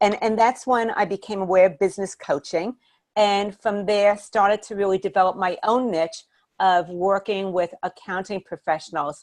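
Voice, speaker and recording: A woman with a New York accent, medium pitch and ordinary pitch variation. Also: dry, close sound with no echo, quiet background. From Brooklyn, New York, then Miami, Florida. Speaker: business coach. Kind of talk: webinar presentation.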